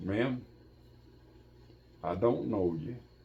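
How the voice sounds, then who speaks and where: In an Appalachian accent, a man speaks with a fairly low pitch and lively intonation. His tone is dark and mellow, and somewhat breathy. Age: 80s+. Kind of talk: interview answer. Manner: storytelling.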